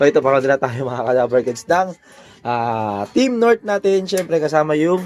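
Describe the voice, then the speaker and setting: A fairly high-pitched man at a fairly quick pace. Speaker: pigeon hobbyist vlogger. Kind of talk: casual vlog narration. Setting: outdoors. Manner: animated; loud.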